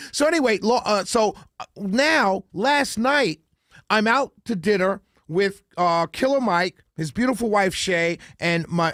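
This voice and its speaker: In a New York accent, a man speaks with high pitch, lively intonation and a fairly slow pace, recorded very clean with a silent background and a dry, close sound with no echo. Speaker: talk radio host. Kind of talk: casual radio monologue.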